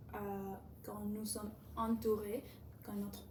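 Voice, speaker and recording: Speaking at a fairly slow pace, a woman is heard over noticeable background noise. Room echo is audible too. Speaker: language learner vlogger. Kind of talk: casual monologue about a book. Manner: halting, many repetitions and fillers.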